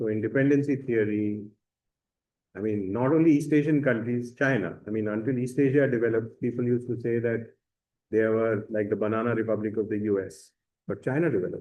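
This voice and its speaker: This man has an unremarkable speaking voice pitched in the medium range. He talks rather fast, and his pitch varies in an ordinary way. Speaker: university lecturer. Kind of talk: lecture.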